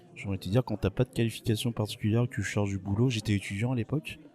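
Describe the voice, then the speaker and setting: Noticeable background noise sits under this man's voice. His pitch varies in an ordinary way. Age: 40s. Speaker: bartender. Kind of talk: interview. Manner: hesitant, many fillers.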